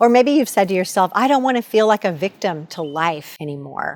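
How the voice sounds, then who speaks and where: Using a normal speaking voice, a woman at medium pitch talks fairly quickly with lively intonation. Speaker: motivational coach. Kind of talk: motivational talk to camera.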